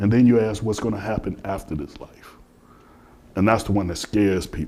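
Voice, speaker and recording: Speaking at a fairly quick pace, a man has a dark, mellow tone and ordinary pitch variation. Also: fairly low pitch for a man. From Chicago. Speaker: philosopher and former chef. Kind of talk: interview in front of audience. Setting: spiritual center hall with audience.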